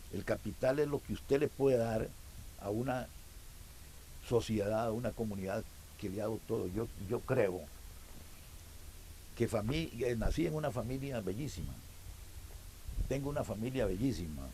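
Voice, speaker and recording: A man's somewhat breathy voice, dark and mellow in tone, at medium pitch and moderate pace, with lively intonation and long, frequent pauses. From Costa Rica, Alajuela. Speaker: club president. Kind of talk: interview. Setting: outdoors at a small farm.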